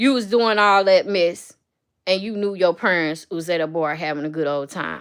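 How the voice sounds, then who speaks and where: In a very clean recording with a silent background, a woman with a fairly low pitch talks at a moderate pace in an animated tone with ordinary pitch variation. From US Midwest. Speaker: livestreamer. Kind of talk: casual chat. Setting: livestream.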